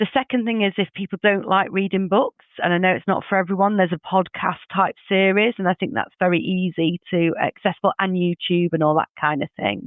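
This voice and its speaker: Speaking at a fairly quick pace, a woman talks with a northern English accent. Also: medium pitch for a woman, ordinary pitch variation, hardly any pauses. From English Midlands. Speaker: HR leader. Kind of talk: podcast interview.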